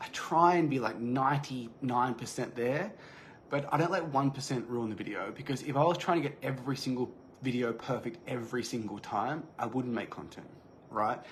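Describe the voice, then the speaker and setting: In a room with audible echo, a man talks in a somewhat breathy voice at medium pitch with ordinary pitch variation. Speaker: fitness business coach. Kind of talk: live training talk. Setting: livestream. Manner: fast, occasional stutter; casual, unscripted.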